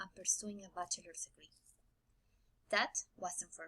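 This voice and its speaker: Somewhat breathy, a woman speaks at a moderate pace with a Spanish accent. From Mexico. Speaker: graduating student. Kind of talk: prerecorded speech.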